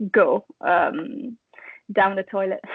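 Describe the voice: Dry, close sound with no echo carries a woman's medium-pitched voice, which has fairly even intonation and a slightly husky edge.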